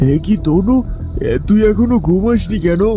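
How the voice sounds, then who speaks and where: A man's cartoonish character voice, high in pitch, at a moderate pace, with clear music in the background. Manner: humble, folksy.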